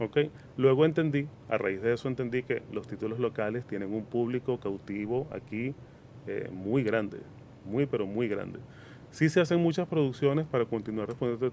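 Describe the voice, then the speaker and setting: His tone dark and mellow, a man talks at a moderate pace and medium pitch with ordinary pitch variation. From Venezuela, Caracas. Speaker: cinema chain operations manager. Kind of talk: radio interview.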